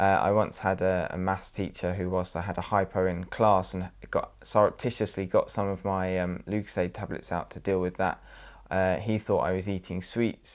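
A very deep, low-pitched man's voice, flat and monotone, at a moderate pace. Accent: English. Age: 20s. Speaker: person with diabetes. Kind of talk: testimony.

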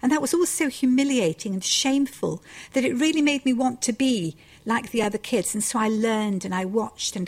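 A woman's very fast, somewhat breathy delivery, fairly high in pitch, with lively intonation. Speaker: novelist. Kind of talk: interview.

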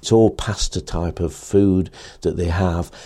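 A man with an English accent, a very deep, low pitch and a dark, mellow tone. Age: 60s. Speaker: cycling coach. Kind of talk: interview monologue.

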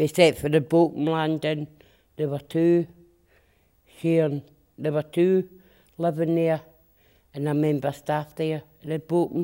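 Flat, monotone delivery at a moderate pace, with long, frequent pauses and a dark, mellow tone. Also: woman, very deep, low pitch for a woman. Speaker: former long-stay hospital resident. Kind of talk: interview.

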